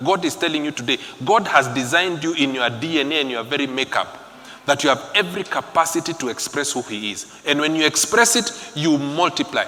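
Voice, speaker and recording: Over noticeable background noise, a man with a fairly high pitch speaks at a fairly quick pace with lively intonation. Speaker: preacher. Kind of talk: sermon. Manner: animated.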